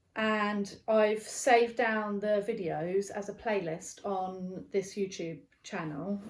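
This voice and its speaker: She speaks in a British accent. The woman's intonation stays fairly even. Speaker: knitting podcaster and yarn dyer. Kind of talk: casual video podcast chat. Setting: barn. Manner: casual, many fillers.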